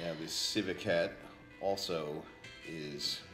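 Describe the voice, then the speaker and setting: Clear music plays behind a man whose very deep, low voice stays in a monotone, flat intonation. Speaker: vlogger. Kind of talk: casual vlog chat. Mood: light, amused. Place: home room. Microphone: phone near.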